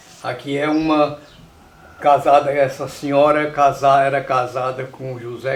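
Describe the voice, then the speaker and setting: The delivery is fairly slow. Noticeable background noise runs underneath. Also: man. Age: 70s. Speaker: elderly rural resident, documentary interviewee. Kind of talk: documentary interview, reminiscing.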